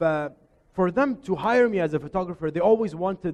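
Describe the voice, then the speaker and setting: At a very fast pace, the speaker talks loudly in an Arabic accent. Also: man. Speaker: photographer and chef giving a workshop. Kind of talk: workshop presentation. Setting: showroom workshop with live audience. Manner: informal, hesitant with repetitions.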